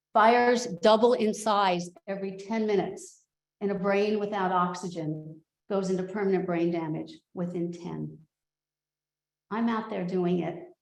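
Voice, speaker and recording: Moderate pace from a woman at medium pitch, fairly even intonation, with audible room echo. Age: 60s. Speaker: volunteer EMT. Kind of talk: public comment at meeting. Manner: impassioned.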